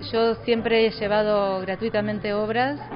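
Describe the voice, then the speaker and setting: Faint music plays behind the voice. She speaks at a fairly slow pace. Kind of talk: interview answer. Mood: mildly frustrated about funding. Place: hall. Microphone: handheld.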